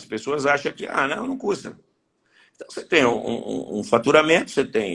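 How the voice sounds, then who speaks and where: A man speaks in an unremarkable speaking voice. His pitch is fairly high and his pace fairly quick. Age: 60s. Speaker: horse breeders' association president. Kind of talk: interview.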